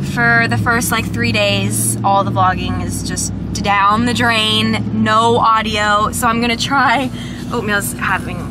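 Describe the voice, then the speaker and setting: Through loud background noise, a woman speaks at a very slow pace. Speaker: vlogger. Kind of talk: casual vlog chat. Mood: disappointed, venting. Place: car. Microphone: phone near.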